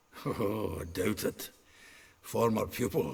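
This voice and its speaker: A man speaks in a put-on character voice that is raspy and fairly low-pitched. His pace is fairly slow. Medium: video game. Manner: chuckling, earthy, informal.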